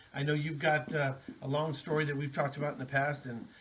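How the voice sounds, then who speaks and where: Amid noticeable background noise, a man rattles along at a very fast pace in a fairly high pitch, his intonation monotone and flat. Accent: American. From Texas, El Paso. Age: 40s. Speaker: rock drummer and band founder. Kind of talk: podcast interview. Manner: casual, filler-heavy.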